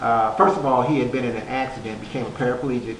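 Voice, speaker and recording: A relaxed tone at a fairly quick pace, with audible room echo and noticeable background noise. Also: man. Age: 60s. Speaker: author. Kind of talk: interview. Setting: stage. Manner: relaxed, conversational with many fillers.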